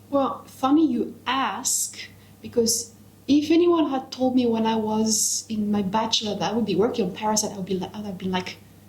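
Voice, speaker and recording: A woman's fairly high-pitched voice, with ordinary pitch variation, comes through noticeable background noise. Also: moderate pace. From France. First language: French. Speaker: parasitologist researcher. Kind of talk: casual interview.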